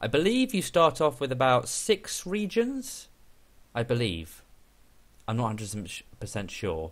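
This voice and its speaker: On a very clean recording with a silent background, a man with a British accent talks at a fairly slow pace, with long, frequent pauses and very wide pitch swings. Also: medium pitch for a man. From Great Britain. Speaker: gaming YouTuber. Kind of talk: gameplay commentary. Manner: hesitant, many fillers.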